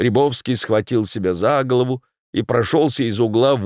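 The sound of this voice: An unforced reading voice, with pitch that rises and falls in an ordinary way, comes through over a quiet background.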